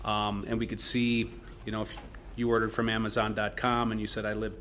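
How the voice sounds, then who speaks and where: With audible room echo, a man speaks at a very fast pace. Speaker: broadband data company executive. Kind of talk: panel discussion. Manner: loud.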